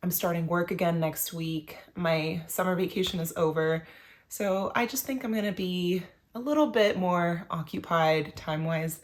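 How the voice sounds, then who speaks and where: A plain, everyday voice from a woman, fairly low-pitched, moderately paced, with ordinary pitch variation. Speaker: knitting video creator. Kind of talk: casual vlog talk to camera.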